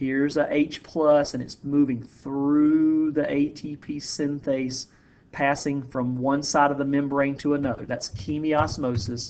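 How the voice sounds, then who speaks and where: A man with a fairly high pitch talks at a fairly slow pace in a monotone, flat intonation. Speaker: high school biology teacher. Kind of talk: lecture. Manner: casual.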